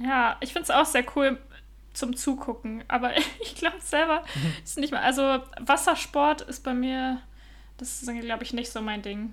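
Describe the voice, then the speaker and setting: Speaking at a moderate pace, a woman with a high pitch leaves long, frequent pauses. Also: ordinary pitch variation. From Germany. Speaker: podcaster living abroad. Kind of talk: casual chat.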